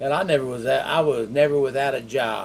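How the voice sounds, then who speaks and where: A man with a Texan accent, medium in pitch, with ordinary pitch variation. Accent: Texan Southern US. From Texas, Waco area. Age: 60s. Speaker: stroke survivor teaching online money-making. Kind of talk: casual monologue to camera. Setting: home bedroom. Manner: halting, many fillers and restarts.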